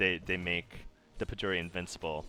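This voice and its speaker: This man has a very deep, low voice and an American accent, and he talks at a fairly quick pace. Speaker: gaming video creator. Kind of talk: gameplay commentary tutorial. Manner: casual, with frequent fillers.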